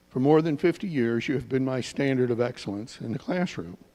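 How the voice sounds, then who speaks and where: Dark and mellow, a man's medium-pitched voice carries an American accent and ordinary pitch variation. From Maryland, US. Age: 70s. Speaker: school psychologist, former student of the deceased. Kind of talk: memorial tribute, reading a letter aloud. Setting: church memorial service.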